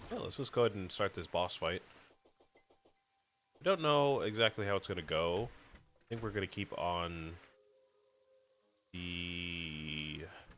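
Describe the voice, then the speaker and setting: Music plays in the background as a man speaks with ordinary pitch variation. He leaves long, frequent pauses. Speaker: gaming streamer. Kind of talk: casual gameplay commentary. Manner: halting.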